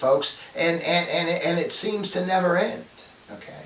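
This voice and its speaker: There is noticeable background noise behind a man with a high pitch. He keeps a moderate pace. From United States. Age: 60s. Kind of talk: casual talk to camera. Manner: hesitant, conversational.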